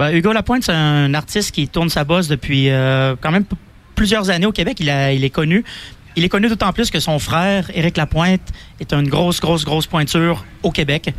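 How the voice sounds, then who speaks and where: Loudness stays very even as a man speaks at a moderate pace. His pitch is fairly high, with ordinary variation. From Quebec, Donnacona near Quebec City. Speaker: festival organizer. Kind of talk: radio interview. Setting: outdoor live radio broadcast.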